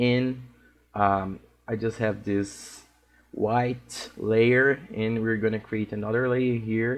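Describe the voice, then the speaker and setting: Very slow, monotone, flat speech from a man with a Portuguese accent at medium pitch. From Brazil. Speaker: digital art instructor. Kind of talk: tutorial. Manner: halting, with frequent fillers.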